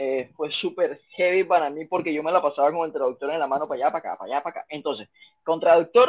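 This man's very fast speech sits at a high pitch, its pitch variation ordinary. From Panama. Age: 20s. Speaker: fitness instructor. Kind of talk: casual interview.

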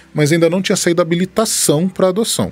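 A man rushes through his words at a very fast pace, his voice somewhat breathy. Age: 30s. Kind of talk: casual chat.

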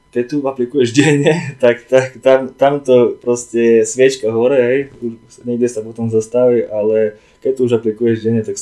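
This man has a plain, everyday voice, pitched medium, moving at a moderate pace with fairly even intonation. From eastern Slovakia, Prešov region. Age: 20s. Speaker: fitness coach and project manager. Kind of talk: casual chat.

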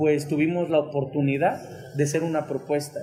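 There's noticeable background noise as a man speaks in a fairly high voice. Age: 20s. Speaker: local politician. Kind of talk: interview. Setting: café, in person. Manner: passionate.

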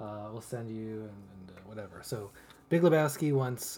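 This man's voice sits at a medium pitch with ordinary pitch variation, somewhat breathy and dark, mellow in tone, moving at a moderate pace. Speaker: podcast co-host. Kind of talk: casual chat.

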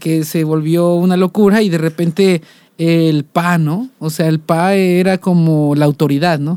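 Speaking at a fairly slow pace, a man has a high voice with a dark, mellow tone. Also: fairly even intonation, dry, close sound with no echo. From Mexico, Coatepec, Veracruz. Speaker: musician. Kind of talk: casual interview chat.

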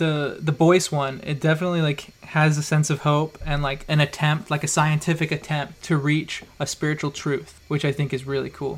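This man has an American accent and a fairly high, somewhat breathy voice. He talks at a moderate pace in a flat monotone, with hardly any pauses. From Idaho. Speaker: podcast host. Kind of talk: casual chat.

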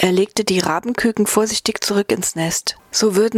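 Someone is reading aloud in a natural voice, with fairly even intonation throughout.

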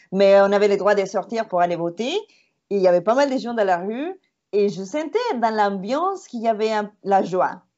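Speaking with a Spanish accent, a woman has a medium pitch and ordinary pitch variation. Her pace is moderate. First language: Spanish (speaking French). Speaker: tour guide and podcast co-host. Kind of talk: casual chat. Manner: halting.

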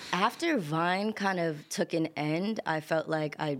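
Here a woman speaks with a New York accent at a very deep, low pitch and ordinary pitch variation. Her pace is fairly slow, and the recording is very clean with a silent background. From New York, Queens and Long Island. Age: 20s. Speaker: singer and songwriter. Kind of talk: interview.

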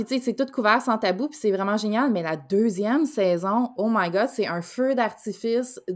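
Her fairly high pitch shows ordinary variation as this woman speaks. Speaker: podcast co-host. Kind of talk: casual chat.

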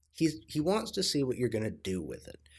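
A man with a somewhat breathy voice swings his pitch very widely, recorded very cleanly against a silent background. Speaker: solo podcast host. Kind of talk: casual monologue. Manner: casual, profane.

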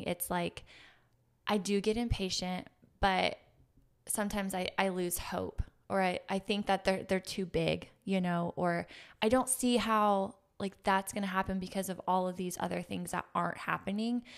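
An ordinary speaking voice from a woman at medium pitch and moderate pace, with fairly even intonation, on a very clean recording with a silent background. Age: 30s. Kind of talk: faith-based casual conversation.

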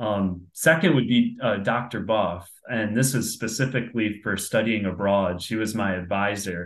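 The speech comes at a fairly slow pace with audible room echo. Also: man, fairly low pitch for a man, ordinary pitch variation, hardly any pauses. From upstate New York, Binghamton. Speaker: career coach and sales manager. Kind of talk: interview.

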